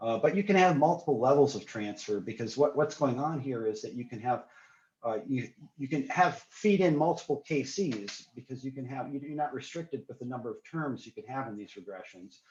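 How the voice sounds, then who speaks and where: Breathy to some degree and fairly high-pitched, a man talks at a fairly quick pace with lively intonation and big swings in loudness. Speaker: researcher presenting a modeling framework. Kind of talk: academic seminar presentation. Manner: fast; halting, many fillers.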